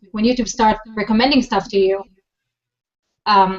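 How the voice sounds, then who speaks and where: With a non-native accent, a woman talks at a very fast pace with fairly even intonation. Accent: foreign. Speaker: social media marketing expert. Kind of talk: interview. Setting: video call.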